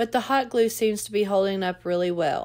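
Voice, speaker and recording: On a very clean recording with a silent background, a woman with a Southern US accent speaks at a moderate pace in a medium pitch with ordinary pitch variation. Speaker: DIY crafter and video creator. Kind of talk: tutorial.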